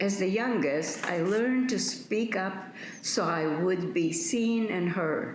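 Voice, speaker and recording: Noticeable background noise and audible room echo surround a woman speaking very slowly at a medium pitch. Her loudness stays very even, with ordinary pitch variation. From Poland. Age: 80s+. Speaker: Holocaust survivor. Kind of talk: testimony.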